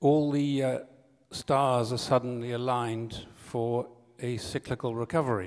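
In an English accent, a man talks at a fairly slow pace with fairly even intonation against a quiet background. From Britain. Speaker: journalist. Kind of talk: conference talk. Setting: stage with audience. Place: hall. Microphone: podium.

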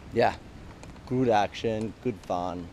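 Slowly and with fairly even intonation, a man speaks in a fairly low pitch.

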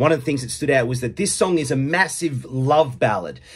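The man's somewhat breathy speech is heard with a quiet background. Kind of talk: casual vlog chat. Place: home room. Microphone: phone near.

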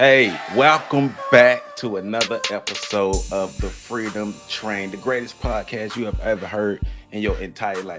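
Clear music plays in the background. A man talks at a fairly slow pace with fairly even intonation. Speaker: podcast host. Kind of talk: podcast intro. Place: home room. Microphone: earbuds.

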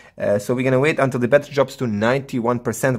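A man's voice with fairly even intonation over a quiet background. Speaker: tech reviewer. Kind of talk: tutorial commentary. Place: home room.

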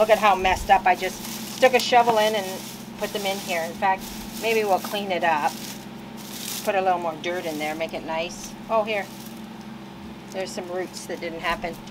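At a moderate pace, a woman talks with long, frequent pauses and fairly even intonation while noticeable background noise runs underneath. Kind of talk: casual vlog chat. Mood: relaxed, cheerful. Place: garden.

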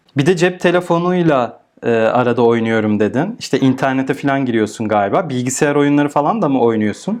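A man in an ordinary speaking voice talks at a fairly quick pace and medium pitch, with hardly any pauses, lively intonation and very even loudness. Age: 30s. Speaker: podcast host. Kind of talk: casual interview.

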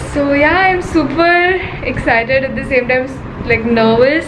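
A woman at a fairly slow pace with ordinary pitch variation, amid noticeable background noise. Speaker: fashion vlogger. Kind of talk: casual vlog chat. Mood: excited but nervous. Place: home room. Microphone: phone near.

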